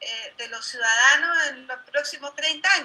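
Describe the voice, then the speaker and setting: The voice is raised and projected, moving at a fairly slow pace with ordinary pitch variation. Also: woman. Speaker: political candidate. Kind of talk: debate.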